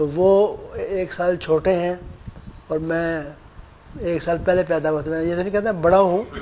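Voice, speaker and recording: Over noticeable background noise, a man with a high pitch speaks in a monotone, flat way with long, frequent pauses. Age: 70s. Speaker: interviewee, religious elder. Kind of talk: interview reminiscence.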